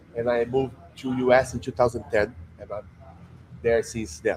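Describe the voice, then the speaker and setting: Somewhat breathy, a man talks at a moderate pace. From Brazil. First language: Portuguese. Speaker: jiu-jitsu instructor. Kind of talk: interview. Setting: jiu-jitsu gym under construction.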